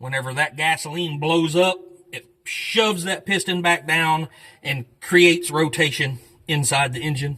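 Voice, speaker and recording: A man speaks in a Southern US accent. His pace is moderate and his pitch variation is ordinary. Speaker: mechanic and channel host restoring an old truck. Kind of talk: hands-on tutorial with casual chat. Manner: loud.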